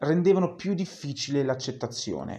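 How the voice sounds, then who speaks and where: A man speaks in a dark, mellow tone with ordinary pitch variation. His pace is moderate. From Lombardy, Italy. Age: 20s. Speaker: drag performer and student. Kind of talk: interview.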